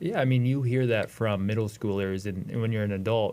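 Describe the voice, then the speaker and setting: A man's fairly low voice with an American accent, a normal speaking voice, fairly even intonation and a moderate pace. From Ohio, US Midwest. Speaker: wrestling coach. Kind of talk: podcast interview.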